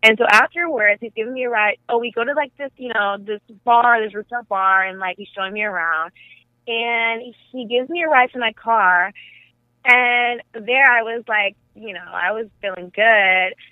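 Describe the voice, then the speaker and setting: Speaking at a moderate pace, a woman with an unremarkable speaking voice and fairly high pitch uses ordinary pitch variation while her loudness swings widely. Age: 20s. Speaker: caller. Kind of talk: casual chat. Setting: phone call.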